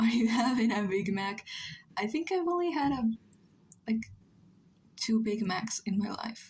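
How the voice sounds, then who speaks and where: Her pitch fairly high and swinging very widely, a woman speaks at a fairly slow pace in a somewhat breathy voice. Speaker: streamer drawing live. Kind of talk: casual chat. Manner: halting.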